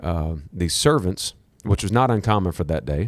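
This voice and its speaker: A man speaks with a Southern US accent at a very deep, low pitch. The recording is very clean, the background silent. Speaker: podcast host. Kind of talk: casual teaching chat. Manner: animated, repeats 'okay?' often.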